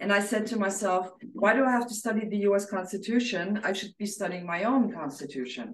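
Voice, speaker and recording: A woman at a fairly quick pace with hardly any pauses, ordinary pitch variation and audible room echo. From Austria. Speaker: activist. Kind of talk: interview testimony. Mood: calm, reflective storytelling. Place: home room.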